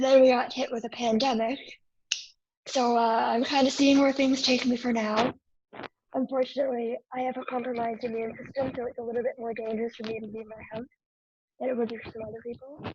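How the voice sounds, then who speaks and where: Quiet and very fast, a woman speaks at a high pitch with monotone, flat intonation and big swings in loudness. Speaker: media program graduate, guest. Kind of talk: interview.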